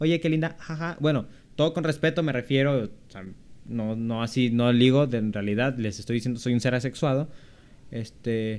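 A man's normal speaking voice, medium in pitch, at a moderate pace with ordinary pitch variation. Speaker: podcast co-host. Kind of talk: casual chat.

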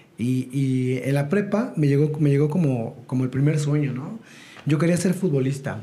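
A fairly high-pitched male voice with noticeable background noise and audible room echo. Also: ordinary pitch variation, moderate pace. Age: 40s. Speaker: network marketing entrepreneur. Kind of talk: interview.

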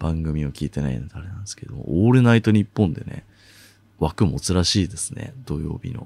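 A fairly quick delivery with vocal fry and big swings in loudness. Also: man, very deep, low pitch for a man, lively intonation. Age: 20s. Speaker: podcast host. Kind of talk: solo voice essay, casual monologue.

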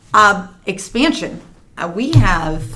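The woman's intonation is lively. There is audible room echo. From small town. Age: 30s. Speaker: nonprofit founder. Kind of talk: interview.

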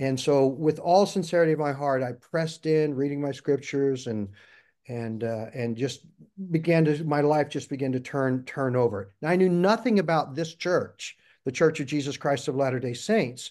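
A man with an unremarkable speaking voice and an American accent, at a fairly high pitch with ordinary pitch variation, a moderate pace and a quiet background. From US Midwest, Missouri. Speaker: interview guest, navy veteran. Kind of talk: interview, personal testimony.

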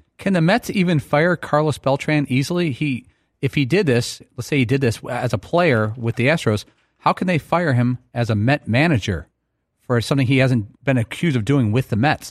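A man with a plain, everyday voice and lively intonation at a moderate pace, on a very clean recording with a silent background. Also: medium pitch for a man. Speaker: sports radio co-host. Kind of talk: casual sports talk. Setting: studio.

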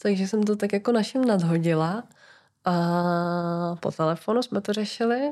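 In a very clean recording with a silent background, a normal speaking voice moves at a moderate pace with ordinary pitch variation. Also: woman, medium pitch for a woman. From Czechia, near Brno (South Moravia). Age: 20s. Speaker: podcast guest, listener. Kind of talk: casual interview chat.

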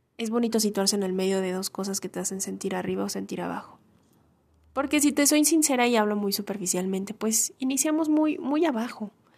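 At a fairly quick pace, a woman talks in a fairly high, somewhat breathy voice with lively intonation. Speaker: podcaster. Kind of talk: personal monologue. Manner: halting.

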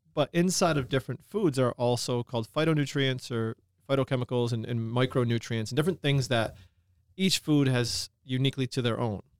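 A plain, everyday voice at a fairly quick pace with ordinary pitch variation, dry and close with no echo, in a very clean recording over a silent background. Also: man. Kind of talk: casual podcast chat.

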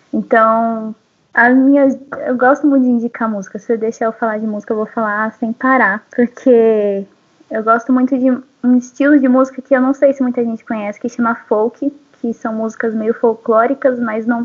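The pace is moderate. The intonation is flat and monotone. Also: woman, fairly high pitch for a woman. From Brazil, São Paulo city. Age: 20s. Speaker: photographer and agronomy student. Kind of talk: casual interview. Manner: calm.

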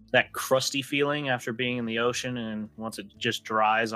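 This is an unforced reading voice. Nothing else is marked.

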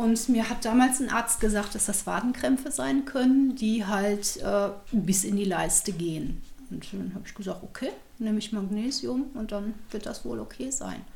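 A woman talks at a moderate pace in a fairly high pitch with ordinary pitch variation. Noticeable background noise and audible room echo fill the recording. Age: 40s. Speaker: former geriatric nurse living with multiple sclerosis. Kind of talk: personal testimony in an interview.

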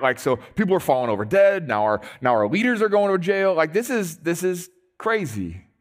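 Over music in the background, a man talks in an animated tone at a fairly quick pace and a high pitch. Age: 40s. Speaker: pastor. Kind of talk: sermon.

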